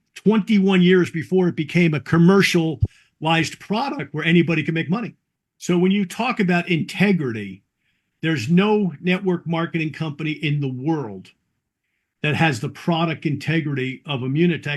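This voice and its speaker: A man's fairly high pitch and lively intonation at a moderate pace, over a quiet background. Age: 60s. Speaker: network marketing distributor. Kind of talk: interview. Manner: halting.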